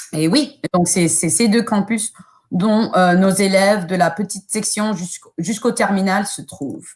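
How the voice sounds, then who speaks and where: Her pitch medium with ordinary variation, a woman talks at a fairly slow pace. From United States. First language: English (speaking French). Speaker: school admissions officer. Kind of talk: presentation. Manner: halting, many hesitations.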